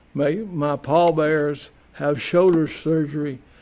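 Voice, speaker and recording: Monotone and flat in intonation, a man with a Southern US accent speaks at a fairly high pitch. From US South. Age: 70s. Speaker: community TV host. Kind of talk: personal monologue. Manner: halting, many repetitions.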